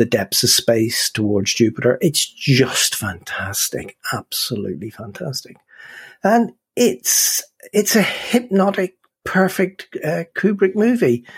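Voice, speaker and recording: This voice, with a Northern Irish accent and vocal fry, moves at a fairly slow pace. Its pitch swings very widely, and the sound is dry and close with no echo. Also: man. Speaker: film podcast host. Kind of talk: casual chat. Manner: animated.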